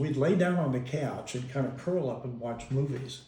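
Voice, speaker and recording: With an American accent, a man talks at a moderate pace with ordinary pitch variation, and audible room echo surrounds him. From US Midwest, Kansas City. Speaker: father telling life story. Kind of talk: family oral history interview.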